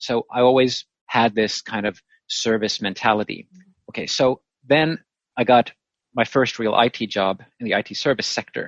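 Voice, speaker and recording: A man's medium-pitched voice at a moderate pace, fairly even in intonation, with long, frequent pauses. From Finland. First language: Finnish and Swedish. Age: 30s. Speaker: virtual meeting facilitator. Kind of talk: interview.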